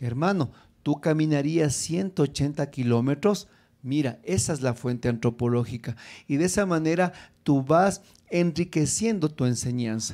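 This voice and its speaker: A man speaks in a fairly high pitch with an animated tone and lively intonation at a fairly slow pace. His loudness stays very even, and the background is quiet. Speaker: preacher teaching preachers. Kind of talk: sermon-style teaching with prayer. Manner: animated, fervent, exhorting the audience; rhetorical questions, emphatic repetition. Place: hall. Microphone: handheld.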